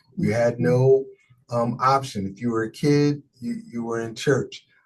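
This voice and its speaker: A man speaks at a fairly slow pace and a medium pitch, with music playing in the background. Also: ordinary pitch variation. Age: 60s. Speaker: pastor. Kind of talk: interview.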